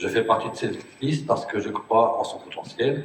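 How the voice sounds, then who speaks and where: A man's fairly even intonation in audible room echo. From Brittany, Morbihan. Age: 40s. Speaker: municipal election candidate. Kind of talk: self-introduction at public meeting.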